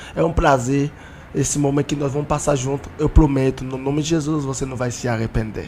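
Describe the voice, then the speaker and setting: Over noticeable background noise, a man with a non-native accent talks at a fairly quick pace, his fairly high pitch held to fairly even intonation. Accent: foreign accent in Portuguese. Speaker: apostle, guest preacher. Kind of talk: religious podcast interview.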